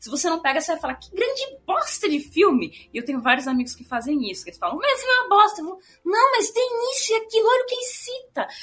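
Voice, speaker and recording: A woman speaks very fast in a bright, sharp tone at an extremely high pitch. Her pitch swings very widely. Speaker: film podcast co-host. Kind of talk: casual chat.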